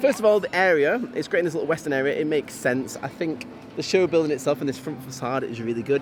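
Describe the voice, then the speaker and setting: A man talks with a Yorkshire accent at a fairly high pitch. Music plays in the background. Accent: weird accent, northwestern Yorkshire. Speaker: theme park vlogger. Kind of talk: casual chat.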